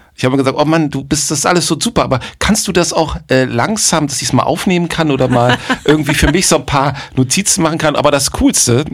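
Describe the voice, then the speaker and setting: A normal speaking voice with lively intonation at a fairly quick pace. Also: man. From northern Germany, Bremen. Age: 50s. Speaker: jazz drummer and producer. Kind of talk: casual chat.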